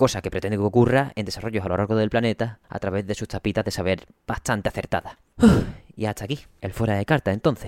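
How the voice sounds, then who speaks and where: A man's fairly low voice at a very fast pace, fairly even in intonation, dry and close with no echo, music in the background. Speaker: video game podcast host. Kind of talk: solo podcast commentary.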